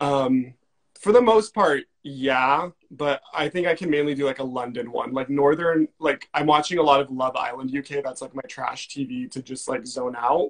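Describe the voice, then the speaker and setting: Recorded with a dry, close sound and no echo, a man speaks at a moderate pace in a fairly high pitch with ordinary pitch variation. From California. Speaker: comedian. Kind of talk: casual chat. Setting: Instagram live video.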